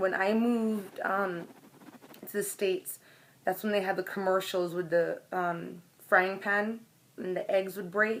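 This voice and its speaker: A woman speaks at a fairly slow pace with a monotone, flat intonation. Her pauses are long and frequent. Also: medium pitch for a woman. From Jamaica. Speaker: vlogger. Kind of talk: casual vlog monologue. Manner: conversational, hesitant with fillers.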